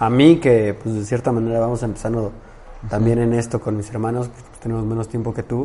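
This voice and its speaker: Monotone, flat intonation marks this man's speech. He talks fairly quickly at a medium pitch. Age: 20s. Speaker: podcast host. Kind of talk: interview.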